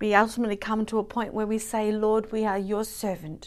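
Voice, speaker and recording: A woman with a fairly high voice at a fairly quick pace, in a very clean recording with a silent background. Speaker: devotional host. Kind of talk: fervent prayer, intercessory; daily devotional talk with prayers. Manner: earnest, pleading, impassioned.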